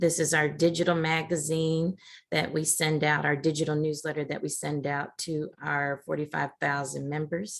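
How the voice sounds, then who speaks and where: Speaking at a moderate pace, a woman with a very deep, low voice keeps a monotone, flat intonation. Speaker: interviewer. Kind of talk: interview questions.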